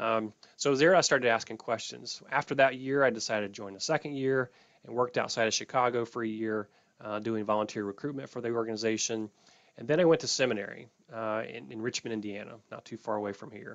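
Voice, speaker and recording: Big swings in loudness mark this man's very fast speech, delivered at a medium pitch with ordinary pitch variation in an American accent. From US South, North Carolina mountains. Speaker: youth extension educator. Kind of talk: workshop presentation. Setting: video call. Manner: halting.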